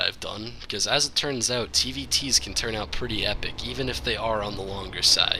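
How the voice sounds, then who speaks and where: The voice belongs to a man with a medium pitch. There is noticeable background noise. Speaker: game commentator. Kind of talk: video game shoutcast commentary.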